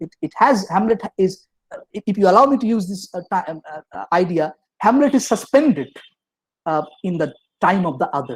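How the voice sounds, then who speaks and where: Pitched high, a man talks at a fairly quick pace with very wide pitch swings and big swings in loudness. The sound is dry and close, with no echo. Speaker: professor. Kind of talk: lecture. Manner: fast; halting, many fillers and restarts.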